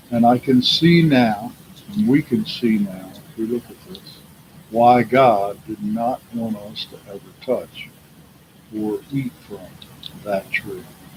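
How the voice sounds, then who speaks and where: A man at medium pitch, very slow, with long, frequent pauses, big swings in loudness and noticeable background noise. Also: ordinary pitch variation. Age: 70s. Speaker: retired prison worker giving religious talks. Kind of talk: casual religious monologue.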